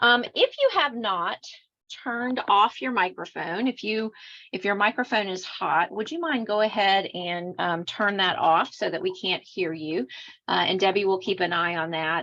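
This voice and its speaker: Against a quiet background, a woman speaks at a medium pitch with ordinary pitch variation. Her tone is bright and sharp. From Louisiana, Cajun. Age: 50s. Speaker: clinical social worker and trainer. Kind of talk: online training presentation.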